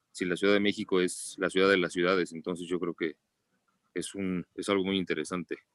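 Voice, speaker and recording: Recorded very cleanly against a silent background with a dry, close sound and no echo, a man with a very deep, low pitch speaks fairly quickly in a flat, monotone intonation. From Mexico City. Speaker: pediatrician. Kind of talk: book club discussion.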